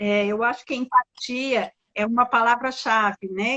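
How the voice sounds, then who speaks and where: An ordinary speaking voice from a woman, fairly slow, with fairly even intonation. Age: 60s. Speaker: design curator. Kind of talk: casual live-stream conversation.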